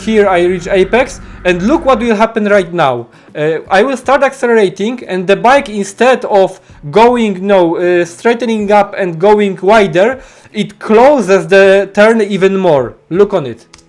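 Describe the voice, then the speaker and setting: A man with a non-native accent speaks at a high pitch with ordinary pitch variation. His pace is fairly slow, and there is noticeable background noise. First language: not English. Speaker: motorcycle racing coach. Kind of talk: tutorial. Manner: halting, many fillers.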